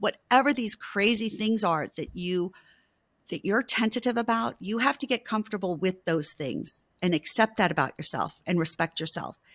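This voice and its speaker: An unremarkable speaking voice from a woman, medium in pitch and moderate in pace, with lively intonation, dry and close with no echo, in a very clean recording with a silent background. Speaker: intimacy coach and author. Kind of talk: interview.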